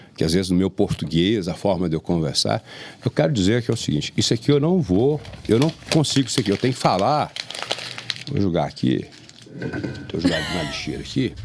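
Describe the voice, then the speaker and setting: The speech runs fairly quick, its pitch swinging very widely, with noticeable background noise present. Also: man, long, frequent pauses. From Brazil, Jiquiriçá area, Bahia countryside. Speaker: podcast host. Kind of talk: casual chat.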